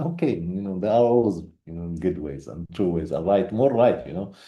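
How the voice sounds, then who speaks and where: A man speaks fairly quickly in a very deep, low voice with a dark, mellow tone. Room echo is audible. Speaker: conference speaker on research. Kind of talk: conference presentation. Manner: halting, many fillers.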